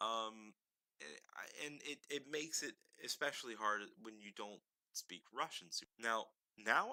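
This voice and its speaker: A man speaks with a fairly low pitch and a bright, sharp tone. The sound is dry and close, with no echo. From United States. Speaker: podcaster. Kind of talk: casual monologue. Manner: halting, many fillers.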